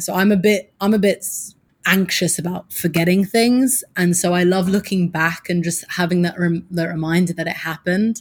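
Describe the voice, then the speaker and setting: A woman's voice, fairly low in pitch. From England, Suffolk. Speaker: PR and social media strategist. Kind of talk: casual interview chat.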